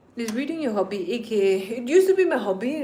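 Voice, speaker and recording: The room echo can be heard clearly. Her speech, a woman's, moves at a fairly quick pace. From Nagaland, northeast India. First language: Nagamese. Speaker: streamer. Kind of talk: casual live stream chat. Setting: live stream at home.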